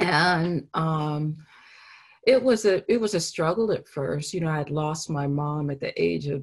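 Over a quiet background, a woman with a very deep, low pitch speaks at a very slow pace, somewhat breathy. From Los Angeles. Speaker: painter; artist giving a lecture. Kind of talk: artist lecture with Q&A. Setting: video call. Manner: halting, many fillers. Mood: reflective, warm. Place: home room. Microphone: video call.

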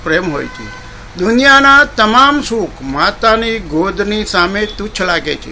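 Against noticeable background noise, a man raises and projects his high voice. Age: 70s. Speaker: presenter. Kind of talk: prepared speech. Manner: formal.

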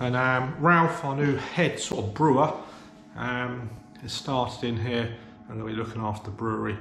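A man at a moderate pace with fairly even intonation, amid light background noise and audible room echo. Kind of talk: casual vlog chat. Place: workshop. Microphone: phone near.

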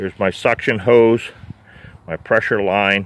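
Pitched fairly low, a man's voice comes through with a dry sound and no echo. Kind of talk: tutorial. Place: open country. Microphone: phone near.

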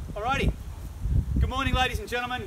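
The speaker is a man. Heavy noise fills the background. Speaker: auctioneer. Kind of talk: auction opening address. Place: garden. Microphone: camera far.

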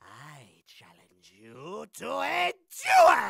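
The voice is a put-on character. It has a raspy sound. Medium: voice reel. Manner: pompous, condescending.

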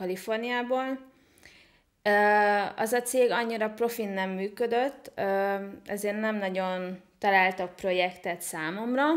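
A woman with a plain, everyday voice and medium pitch speaks at a fairly slow pace and with fairly even intonation against a quiet background. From Hungary (small town). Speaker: online entrepreneur and IT consultant; podcast guest. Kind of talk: interview. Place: home room. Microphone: studio mic.

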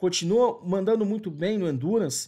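A man speaks in a high pitch. The background is quiet. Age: 40s. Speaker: motorsport journalist; motorsport commentator. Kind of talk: video commentary. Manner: hesitant, frequent fillers.

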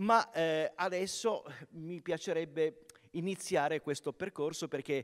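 Against a quiet background, the man talks at a very slow pace. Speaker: event presenter. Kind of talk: live event hosting. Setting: stage with audience. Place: stage. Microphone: handheld.

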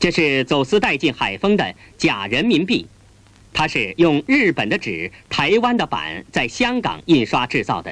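Stern in tone, a man speaks at a fairly slow pace with vocal fry, his fairly high pitch swinging very widely. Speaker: documentary narrator. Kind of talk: 1980s newsreel documentary narration. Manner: formal, stern, measured official newsreel delivery; deliberate, declamatory, condemning tone.

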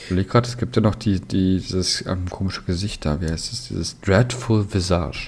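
The somewhat breathy delivery runs on with hardly any pauses. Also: man, very deep, low pitch for a man, ordinary pitch variation, moderate pace. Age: 30s. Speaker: tabletop wargaming player. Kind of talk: casual chat.

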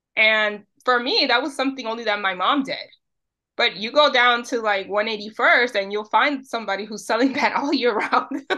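A woman with a New York accent talks at a moderate pace and a high pitch, with ordinary pitch variation. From New York City, Dominican family. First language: Spanish. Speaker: social media creator on Dominican Spanish. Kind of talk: casual interview.

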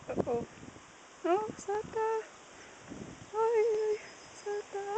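The woman's voice is extremely high in pitch, with fairly even intonation and a very slow pace. Noticeable background noise accompanies a dry sound with no echo. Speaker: walker filming ponies. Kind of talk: casual talk to animals on a walk. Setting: outdoors. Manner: high-pitched baby talk. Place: open country. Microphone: phone near.

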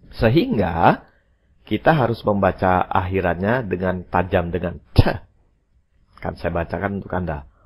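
Speaking at a fairly slow pace, a man with a very deep, low voice sounds somewhat breathy, with ordinary pitch variation and big swings in loudness. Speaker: English teacher. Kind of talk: language lesson.

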